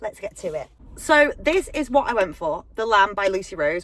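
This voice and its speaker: With a British accent, a woman speaks at a fairly high pitch. Her pace is fairly slow, and her pitch swings very widely. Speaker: book vlogger. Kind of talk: casual vlog. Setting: outdoors and in a car. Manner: bubbly and animated.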